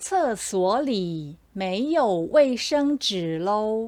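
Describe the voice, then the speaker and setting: A woman with a Taiwanese accent speaks at a very slow pace. Her fairly high voice swings very widely in pitch. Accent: Taiwanese Mandarin. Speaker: Mandarin teacher; commercial narrator. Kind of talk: language lesson example sentences. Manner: slow, clear.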